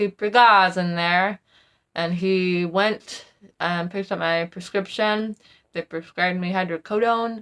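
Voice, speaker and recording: A woman speaks at a fairly slow pace with a plain, everyday voice, medium pitch and fairly even intonation. The recording is very clean with a silent background, and the sound is dry and close with no echo. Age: 20s. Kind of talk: casual talk to camera.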